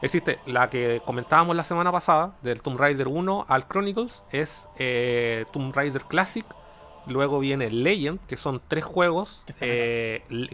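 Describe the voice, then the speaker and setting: The voice has a bright, sharp tone and lively intonation, moving at a fairly slow pace. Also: man. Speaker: video game podcast host. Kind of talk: casual chat.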